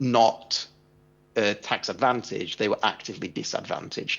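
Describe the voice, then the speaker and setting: Music plays behind a voice that moves at a moderate speed. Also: man. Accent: English. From England. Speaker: tax and equity compensation consultant. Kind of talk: conference presentation. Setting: remote video link into conference.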